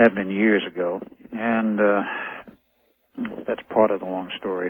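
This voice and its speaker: Speaking at a fairly slow pace, a man uses a fairly low pitch and a monotone, flat intonation. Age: 60s. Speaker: radio guest. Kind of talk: interview. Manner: halting.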